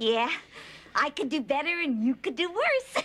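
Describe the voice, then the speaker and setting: A woman puts on a high-pitched character voice. She speaks at a moderate pace. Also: very even loudness. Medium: short film.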